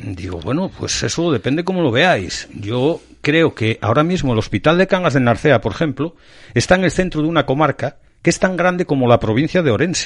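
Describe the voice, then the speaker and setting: A man speaks at a fairly quick pace in a fairly high voice. His intonation is lively, with vocal fry. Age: 50s. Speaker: local political activist. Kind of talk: interview.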